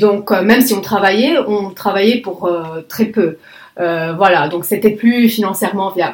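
A woman of medium pitch, at a moderate pace, with ordinary pitch variation. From Lebanon. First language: Arabic (speaking French). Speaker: conference interpreter. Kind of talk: interview.

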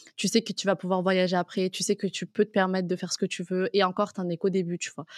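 On a very clean, dry, close recording with a silent background and no echo, a woman talks at a very fast pace in a medium pitch with monotone, flat intonation. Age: 20s. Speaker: freelance content creator. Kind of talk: casual interview.

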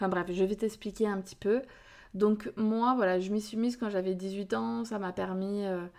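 Woman at a medium pitch with fairly even intonation, on a very clean recording with a silent background. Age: 30s. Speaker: podcast host and relationship coach. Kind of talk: casual solo podcast talk.

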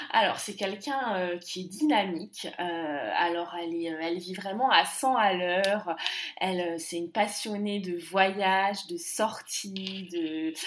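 A woman with a medium pitch speaks at a very slow pace with ordinary pitch variation and big swings in loudness. Noticeable background noise sits behind her. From France. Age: 20s. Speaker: expatriate. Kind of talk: interview.

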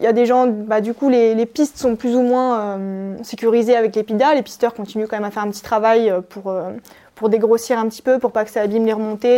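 Her pace is fairly quick and her intonation fairly even. The woman's pitch is fairly high, with a dark, mellow tone. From Savoie, French Alps. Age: 20s. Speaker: police mountain rescuer in training. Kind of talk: interview. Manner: hesitant with fillers.

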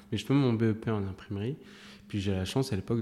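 Fairly even intonation marks a man's speech, delivered in a dark, mellow tone. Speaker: print production director. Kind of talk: casual interview.

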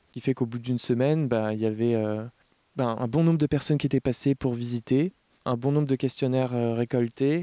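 Recorded very cleanly against a silent background, with a dry, close sound and no echo, a man of medium pitch talks at a fairly quick pace with long, frequent pauses. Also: fairly even intonation. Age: 30s. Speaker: co-founder of a rural cultural association. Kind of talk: interview. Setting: outdoors. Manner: hesitant, with fillers.

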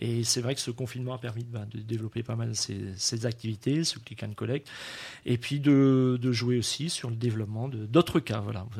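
In a very clean recording with a silent background, a somewhat breathy man speaks at a moderate pace with fairly even intonation. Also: medium pitch for a man. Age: 50s. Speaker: restaurant and wine shop owner. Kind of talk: radio interview. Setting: wine shop recording.

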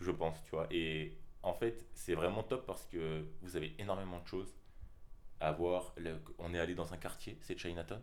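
A man speaks at a moderate pace. His pitch is very deep and low, with ordinary variation. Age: 20s. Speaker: graphic design student, podcast co-host. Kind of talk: casual chat.

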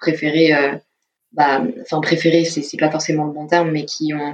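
Her very deep, low voice holds a fairly even intonation. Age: 20s. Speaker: film studies student. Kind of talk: interview testimony. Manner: hesitant, many fillers.

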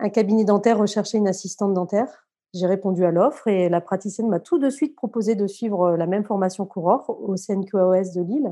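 Over a quiet background, a woman with a dark, mellow tone talks fairly quickly at medium pitch with ordinary pitch variation and hardly any pauses. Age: 40s. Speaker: dental assistant. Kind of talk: casual interview testimony.

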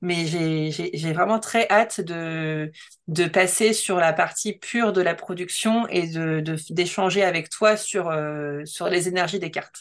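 A woman's fairly low-pitched voice at a very slow pace, with fairly even intonation against a quiet background. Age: 30s. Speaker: designer and creative coach. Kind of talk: interview. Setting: video call. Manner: halting.

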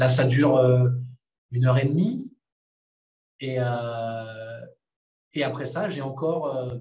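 A man's somewhat breathy, medium-pitched voice with a dark, mellow tone, ordinary pitch variation, a very slow pace, long, frequent pauses and audible room echo. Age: 30s. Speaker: movement coach, former pro boxer. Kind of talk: casual interview.

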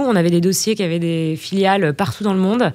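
Her pitch sits in the medium range, and this woman's voice rises and falls in an ordinary way. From Burgundy, France. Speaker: finance director. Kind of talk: interview. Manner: halting, many fillers.

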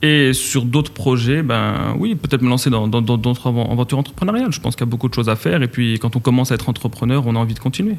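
Noticeable background noise sits behind a man with a medium pitch and ordinary pitch variation. He talks at a very fast pace with hardly any pauses. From Morocco, Casablanca. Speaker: entrepreneur. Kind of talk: interview. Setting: studio.

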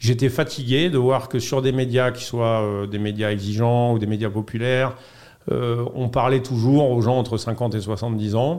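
A man speaks at a fairly slow pace, his medium-pitched voice keeping a fairly even intonation. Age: 40s. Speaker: podcast studio founder. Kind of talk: interview. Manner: hesitant with fillers.

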